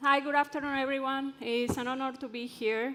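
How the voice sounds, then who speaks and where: A woman talks at a moderate pace in an Ecuadorian accent. Background noise is noticeable. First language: Spanish. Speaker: drilling engineer and conference speaker. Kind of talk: conference presentation. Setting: stage with audience.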